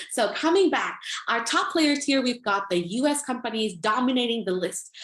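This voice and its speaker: A woman speaks at a high pitch with very wide swings in her pitch, while her loudness stays very even. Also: moderate pace. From US Midwest, Minnesota. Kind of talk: lecture.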